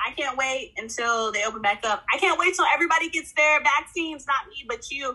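A woman with an American accent speaks at a high pitch in a raised, projected voice with a bright, sharp tone. Her delivery is animated and fairly quick, with lively intonation and hardly any pauses. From Oklahoma City. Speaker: podcast co-host. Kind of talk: casual chat.

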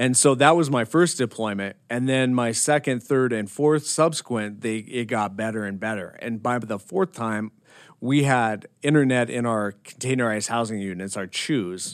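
In a very clean recording with a silent background, a man with an American accent uses an ordinary speaking voice, medium pitch and ordinary pitch variation, keeping a moderate pace with hardly any pauses. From Montana. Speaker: army veteran and social work grad student. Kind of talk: interview.

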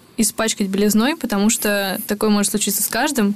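Noticeable background noise runs beneath a woman talking at a very fast pace. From semi-desert region of Russia. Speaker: podcast co-host, correspondent. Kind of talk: casual chat.

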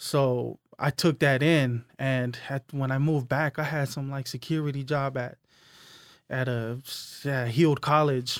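On a very clean recording with a silent background and a dry, close sound with no echo, a man with a fairly high pitch speaks at a fairly slow pace in a monotone, flat delivery. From US West Coast, Hayward, California (Tongan and Hawaiian family). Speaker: clothing brand founder. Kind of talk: casual chat.

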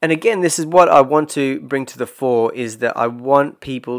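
On a very clean recording with a silent background, a man with an Australian accent speaks at a moderate pace with ordinary pitch variation. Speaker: personal growth podcaster. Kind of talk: solo podcast monologue. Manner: casual, hesitant with repetitions.

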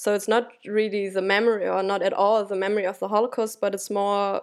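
A woman with a German accent speaks in a monotone, flat intonation on a very clean recording with a silent background. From Germany. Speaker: academic researcher. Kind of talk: interview. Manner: halting.

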